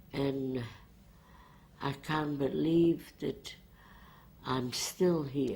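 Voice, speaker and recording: The speaker goes at a very slow pace with long, frequent pauses. Intonation stays fairly even. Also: woman, very deep, low pitch for a woman. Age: 80s+. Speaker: Holocaust survivor. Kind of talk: oral history interview. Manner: halting.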